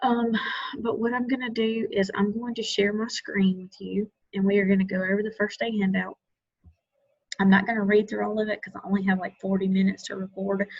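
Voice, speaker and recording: Soft-spoken and flat in intonation, a woman talks at a fairly quick pace. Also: medium pitch for a woman. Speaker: lab instructor. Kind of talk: recorded lecture. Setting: video call recording at home.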